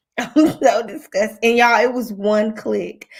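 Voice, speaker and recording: A woman talks in a raised, projected voice at a moderate pace. Her tone is bright and sharp, and her intonation is lively. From rural area, country upbringing. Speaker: podcast host. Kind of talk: casual chat. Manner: animated.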